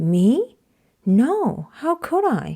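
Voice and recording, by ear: Putting on a character voice, a woman speaks very slowly at a fairly high pitch with very wide pitch swings and a dark, mellow tone that has a slightly husky edge.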